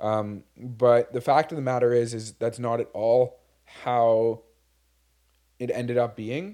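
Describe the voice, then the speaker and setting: A man speaks with a Montreal accent in a dark, mellow tone at a medium pitch. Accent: Montreal English Canadian. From Quebec, Montreal. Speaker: podcast co-host, business owner. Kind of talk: casual chat. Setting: studio with video.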